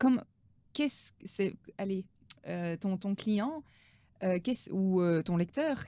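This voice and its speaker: With lively intonation and a medium pitch, a woman speaks at a very slow pace in a dark, mellow tone, pausing often and at length. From Belgium. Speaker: business coach. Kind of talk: interview.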